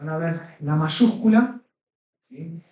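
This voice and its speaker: A man speaks at a very slow pace with a fairly high pitch. His tone is dark and mellow, with ordinary pitch variation. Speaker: Greek language teacher. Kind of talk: lecture. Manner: halting.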